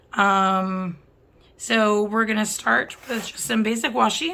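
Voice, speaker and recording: The voice has a bright, sharp tone. It moves at a very slow pace. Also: woman. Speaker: planner hobbyist vlogger. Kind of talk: tutorial. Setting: home desk filming rig. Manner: casual.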